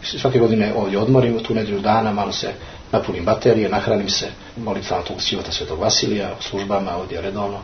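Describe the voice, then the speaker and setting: A man with a Montenegrin accent at a very fast pace and fairly low pitch, amid noticeable background noise and audible room echo. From Montenegro, Podgorica. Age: 40s. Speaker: Orthodox parish priest. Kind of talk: interview. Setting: monastery.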